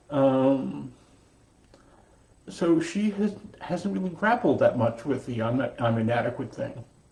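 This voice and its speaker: Pausing long and often, a man with a fairly high-pitched, somewhat breathy voice swings very widely in pitch. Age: 60s. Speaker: meditation teacher. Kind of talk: dharma talk. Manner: halting.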